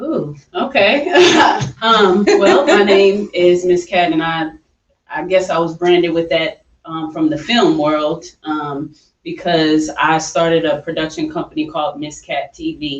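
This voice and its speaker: Speaking fairly slowly, a woman with a New York accent talks at a fairly low pitch. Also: ordinary pitch variation. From upstate New York. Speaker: film director and entrepreneur. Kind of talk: radio interview. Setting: radio show.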